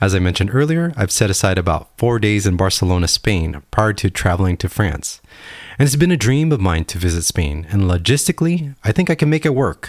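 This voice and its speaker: The speaker talks at a fairly quick pace in an upbeat tone with very wide pitch swings, on a very clean recording with a silent background. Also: man, fairly low pitch for a man. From Hawaii, US. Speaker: podcast host, engineer and grad student. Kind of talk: solo casual podcast monologue. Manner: conversational, upbeat, laughs often.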